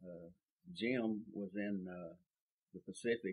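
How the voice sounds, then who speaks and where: Speaking with a South Texas accent, a man has a very deep, low pitch and fairly even intonation. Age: 70s. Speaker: oral history interviewee. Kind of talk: oral history interview. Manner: halting, many fillers.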